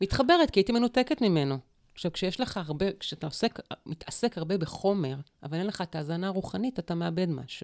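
The pitch swings very widely at a fairly quick pace. The recording is very clean with a silent background and a dry, close sound with no echo. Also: woman, medium pitch for a woman. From Israel, kibbutzim in the Negev. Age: 50s. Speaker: public relations consultant and spiritual coach. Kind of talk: interview conversation.

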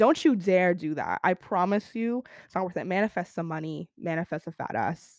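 In an ordinary speaking voice, a woman talks at a fairly slow pace and a fairly low pitch, with a dry, close sound and no echo. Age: young. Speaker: podcast host. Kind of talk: casual monologue. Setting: live stream while recording.

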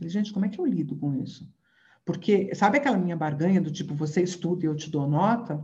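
In a room with audible echo, a woman talks at a very fast pace, somewhat breathy, with a dark, mellow tone and fairly low pitch. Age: 50s. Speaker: neuroscientist and professor. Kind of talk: interview.

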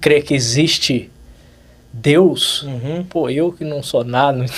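A man speaks at a fairly slow pace in a normal speaking voice with ordinary pitch variation. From Brazil, São Paulo state (Vale do Paraíba). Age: 20s. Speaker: dentist, facial aesthetics instructor. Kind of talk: casual interview chat.

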